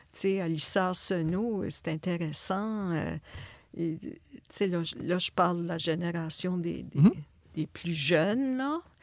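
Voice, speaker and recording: Very slowly and with long, frequent pauses, a woman speaks in a fairly low voice with ordinary pitch variation. Her loudness swings widely in a very clean recording with a silent background. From northwestern New Brunswick, Acadia. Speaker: visual artist. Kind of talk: interview.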